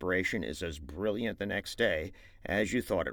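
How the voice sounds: The pitch variation in this natural reading voice is ordinary.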